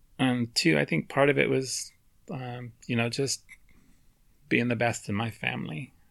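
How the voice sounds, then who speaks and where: On a very clean recording with a silent background, a man with an American accent speaks at a medium pitch with vocal fry, lively intonation, a moderate pace and long, frequent pauses. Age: 40s. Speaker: podcast co-host, mathematician. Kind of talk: casual chat.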